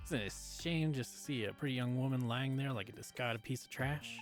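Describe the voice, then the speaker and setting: Over clear music in the background, a man performs a put-on character voice at a fairly quick pace. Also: medium pitch for a man. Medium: game stream. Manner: chatty, quaintly formal.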